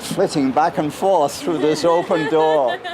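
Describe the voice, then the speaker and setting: Noticeable background noise and audible room echo surround this man's voice. He speaks at a fairly high pitch with ordinary pitch variation. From Wales. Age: 70s. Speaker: subway rider. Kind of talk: casual interview. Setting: subway station. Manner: hesitant with fillers; articulate, elaborate vocabulary.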